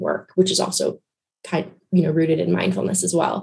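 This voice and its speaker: With vocal fry, a woman speaks at a fairly low pitch. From Guyana. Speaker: therapist. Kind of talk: interview. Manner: hesitant, many fillers.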